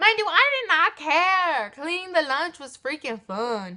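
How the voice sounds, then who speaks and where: Raised and projected, a woman's voice moves very slowly through very wide pitch swings. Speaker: youtuber. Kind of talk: storytime vlog. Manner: animated; stutter.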